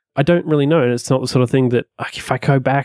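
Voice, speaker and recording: A man with an Australian accent talks at a medium pitch, the sound dry and close with no echo. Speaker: web and iOS developer. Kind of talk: casual chat. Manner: halting.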